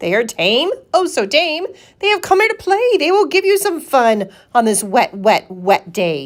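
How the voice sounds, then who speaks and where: Using a put-on character voice, a woman speaks at a moderate pace with a high pitch that swings very widely. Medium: read story. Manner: bouncy, showy, sing-song.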